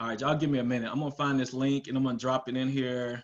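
Against a quiet background, a man talks in an animated tone. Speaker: telecom business owner and sales speaker. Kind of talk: webinar presentation. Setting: video call. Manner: animated, casual. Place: home room.

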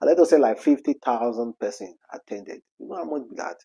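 Over a quiet background, a man talks at a moderate pace with lively intonation. His tone is dark and mellow. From Nigeria. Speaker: celebrity news vlogger. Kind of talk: casual commentary. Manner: animated. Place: home room. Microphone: lapel.

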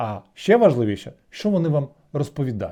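Over a quiet background, a man speaks at a moderate pace. His tone is dark and mellow, and his pitch swings very widely. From Kyiv, Ukraine. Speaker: video blogger. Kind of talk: satirical news commentary.

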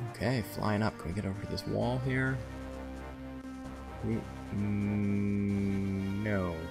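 With music playing in the background, a man speaks at a fairly low pitch with lively intonation. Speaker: gameplay commentator. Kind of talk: relaxing let's play commentary. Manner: soft-spoken.

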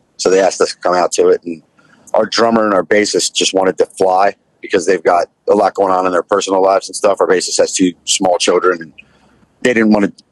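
The voice moves at a fairly quick pace with a dry sound and no echo. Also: man. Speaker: pop punk musician and restaurant owner. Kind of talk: casual chat. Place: car.

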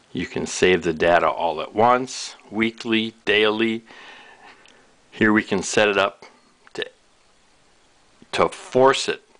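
The speaker moves at a fairly slow pace, with long, frequent pauses. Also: man. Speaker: product demonstrator. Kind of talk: tutorial. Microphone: camera far.

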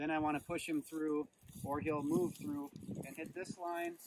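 A man talks fairly quickly in a dry sound with no echo while noticeable background noise runs underneath. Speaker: dog trainer. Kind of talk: tutorial. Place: open country.

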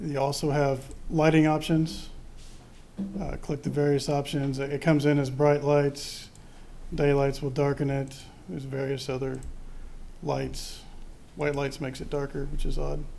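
Over light background noise, a man speaks at a moderate pace with long, frequent pauses. His intonation is monotone and flat. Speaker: presenter. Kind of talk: software demonstration to a board.

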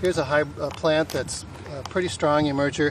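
Recorded dry with no echo and light background noise, a man speaks at a moderate pace with ordinary pitch variation. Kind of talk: field tutorial explanation. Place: farm machine.

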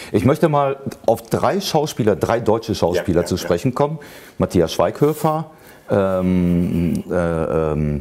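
Speaking fairly slowly, a man with a fairly low voice lets his pitch swing very widely. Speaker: interview host. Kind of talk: interview question.

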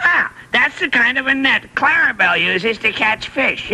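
This is a cartoonish character voice with high pitch. It moves at a moderate pace. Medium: puppet show. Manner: goofy, punning.

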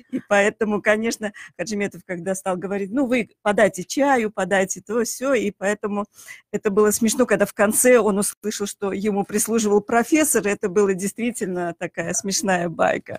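Over a quiet background, a woman speaks at a moderate pace with ordinary pitch variation in a dry sound with no echo. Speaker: chemist; radio guest, guest. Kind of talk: radio interview. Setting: studio. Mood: warm, reminiscing. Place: studio. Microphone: studio mic.

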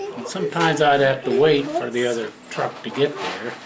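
Over noticeable background noise, a man talks at a fairly slow pace, his fairly high pitch showing ordinary variation. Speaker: retired truck driver. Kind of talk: casual storytelling. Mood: relaxed, reminiscing. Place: home room.

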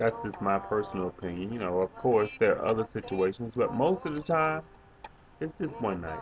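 Faint background music sits under a man's moderately paced speech. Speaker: flight attendant vlogger. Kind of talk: casual vlog chat. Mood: relaxed, reflective. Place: home room. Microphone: webcam.

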